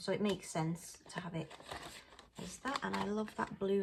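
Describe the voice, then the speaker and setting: Soft-spoken and medium-pitched, a woman with a British accent talks over noticeable background noise. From UK. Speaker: budgeting vlogger. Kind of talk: casual talk-through tutorial.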